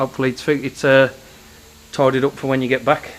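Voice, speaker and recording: A man speaks in a bright, sharp tone. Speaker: car enthusiast. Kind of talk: casual vlog. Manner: casual, rambling.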